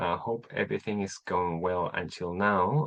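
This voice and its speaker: Someone speaks in a Chilean Spanish accent at a fairly slow pace over a quiet background. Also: man. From Chile (Temuco). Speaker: English teacher. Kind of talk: online class. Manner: halting, many repetitions.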